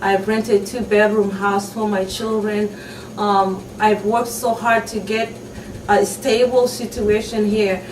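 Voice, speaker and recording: A woman speaks with a fairly high pitch in a monotone, flat intonation. Noticeable background noise runs behind her. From Somalia. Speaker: refugee mother. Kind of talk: testimony. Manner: halting.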